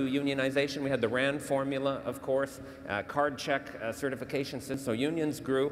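Light background noise sits behind a man speaking at a fairly quick pace. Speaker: panelist. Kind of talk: panel debate answer. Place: stage. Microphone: lapel.

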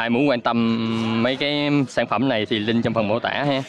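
A man speaks at a moderate pace and medium pitch, his intonation fairly even. The sound is dry with no echo, and there is light background noise. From Vietnam. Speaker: football freestyler and YouTuber; YouTuber. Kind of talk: vlog commentary. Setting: outdoors. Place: stadium. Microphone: phone near.

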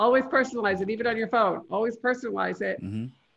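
The speaker is a woman. The background is quiet. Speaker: LinkedIn marketing consultant; guest. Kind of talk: live online training. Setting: video call. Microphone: video call.

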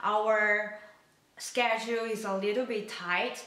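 A woman speaks at a very slow pace in a monotone, flat intonation. Audible room echo is present. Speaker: college student cooking vlogger. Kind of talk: casual vlog chat. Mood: calm, friendly. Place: kitchen.

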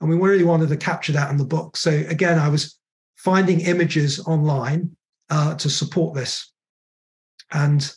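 A man's fairly high-pitched, monotone voice with flat intonation against a quiet background. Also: moderate pace, very even loudness. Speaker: author. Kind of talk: book talk presentation. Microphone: video call.

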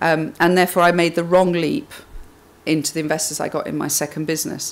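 A woman talks at a fairly quick pace in a low pitch with vocal fry and little pitch movement.

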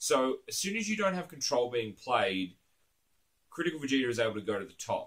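Over a quiet background, a man with an Australian accent talks at a moderate pace in a bright, sharp tone, his pitch swinging very widely. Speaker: card game YouTuber. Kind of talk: casual monologue to camera. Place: home room.

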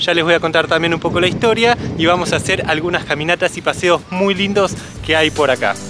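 Music plays in the background while a high-pitched man speaks at a fairly quick pace with very even loudness and ordinary pitch variation, in a dry sound with no echo. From Argentina. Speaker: travel vlogger. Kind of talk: casual talk to camera. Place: open country. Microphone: phone near.

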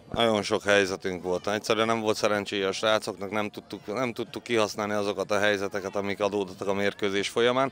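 Very fast and with hardly any pauses, a man speaks at a fairly low pitch in a monotone, flat intonation. The sound is dry with no echo, over light background noise. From Hungary. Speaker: youth football coach. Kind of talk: interview. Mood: proud but disappointed after loss. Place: stadium.

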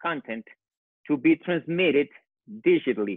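A man with a Colombian accent is heard in a dry sound with no echo against a quiet background. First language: Spanish. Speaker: architect; panelist. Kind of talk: panel discussion. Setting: phone call. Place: home room. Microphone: earbuds.

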